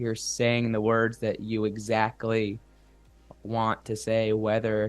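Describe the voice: A man's slow, fairly low-pitched delivery in a monotone, flat intonation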